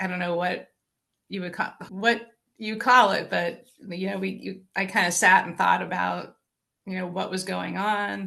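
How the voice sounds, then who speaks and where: A woman speaks at a fairly slow pace in a bright, sharp tone with vocal fry. Her intonation stays monotone and flat. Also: medium pitch for a woman. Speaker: retired corporate employee turned entrepreneur. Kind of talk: interview answer.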